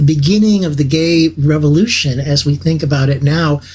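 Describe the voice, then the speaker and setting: A man talks with an American accent in a fairly high pitch. His pitch varies in an ordinary way, and his voice is somewhat breathy. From US Midwest, small town in Illinois. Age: 70s. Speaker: host. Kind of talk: talk to a video meeting audience. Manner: halting, with many repeated words.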